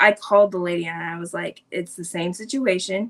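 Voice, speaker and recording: A woman is speaking. Hers is an unremarkable speaking voice. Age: 30s. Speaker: interview guest sharing mental health story. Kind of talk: personal storytelling interview. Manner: casual, filler-heavy.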